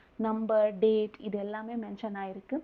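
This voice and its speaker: A woman's normal speaking voice, fairly high in pitch. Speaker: movie recap narrator. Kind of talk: movie plot recap narration. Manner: casual, conversational.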